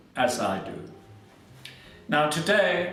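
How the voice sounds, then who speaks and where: Fairly high male voice amid noticeable background noise. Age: 80s. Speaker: home cook, cooking channel host. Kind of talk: cooking demonstration to camera. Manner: calm, gentle, unhurried.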